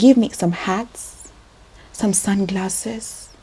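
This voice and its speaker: Noticeable background noise around a woman's voice of medium pitch. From Kenya. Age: 20s. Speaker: vlogger, registered nurse. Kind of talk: personal vlog confession. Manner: animated.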